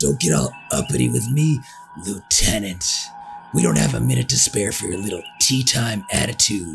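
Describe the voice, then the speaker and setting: A man puts on a raspy character voice with a very deep, low pitch and very wide pitch swings, at a moderate pace. Faint music plays in the background. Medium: fan dub. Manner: blunt, irritable.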